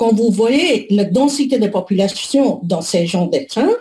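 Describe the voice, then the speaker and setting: A woman speaks fairly slowly at a fairly high pitch, with lively intonation. Her tone is dark and mellow and somewhat breathy. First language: not French (speaking French). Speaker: public health researcher. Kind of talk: webinar presentation. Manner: halting, many hesitations.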